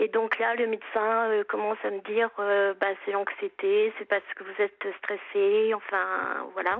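Speaking in a monotone, flat intonation at a medium pitch, a woman moves at a fairly slow pace with hardly any pauses. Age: 50s. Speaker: caller with rare illness. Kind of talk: phone-in testimony.

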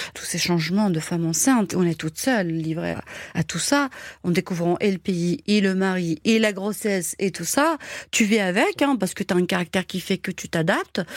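Dry and close with no echo, this very clean recording with a silent background captures a woman of medium pitch speaking at a moderate pace with ordinary pitch variation. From Algeria, Algiers area, Kabyle family. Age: 50s. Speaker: caterer. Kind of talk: personal testimony. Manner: energetic; hesitant fillers.

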